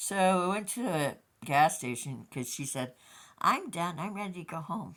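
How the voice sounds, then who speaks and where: A woman with an unremarkable speaking voice, fairly low in pitch, lively in intonation, at a moderate pace with big swings in loudness, on a very clean recording with a silent background. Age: 60s. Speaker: vlogger. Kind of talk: casual monologue vlog.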